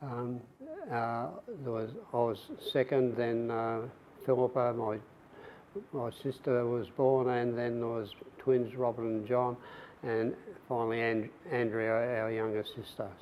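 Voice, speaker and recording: A man talks in an Australian accent at a fairly slow pace, monotone and flat, with long, frequent pauses. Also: medium pitch for a man. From Australia, rural western Victoria. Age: 70s. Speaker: veteran, former footballer and police officer. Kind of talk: oral history interview. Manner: halting, many fillers.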